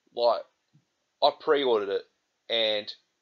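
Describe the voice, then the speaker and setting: At a moderate pace, a man with an Australian accent speaks in an angry tone against a quiet background. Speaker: gaming vlogger. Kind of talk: angry rant; vlog monologue to camera. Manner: angry, swearing, exasperated; repetitive, hesitant with fillers. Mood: angry, frustrated. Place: home room. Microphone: webcam.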